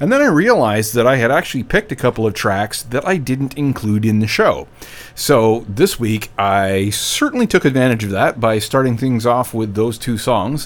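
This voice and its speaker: A man at medium pitch and a moderate pace, with noticeable background noise. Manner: loose, self-deprecating and scatterbrained, full of ums and uhs; casual, chatty, rambling, corrects himself mid-sentence.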